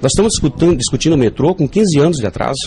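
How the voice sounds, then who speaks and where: A man rattles along at a very fast pace with lively intonation amid noticeable background noise. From Northeast Brazil, João Pessoa. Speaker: politician and professor. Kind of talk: radio interview. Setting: radio studio. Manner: animated.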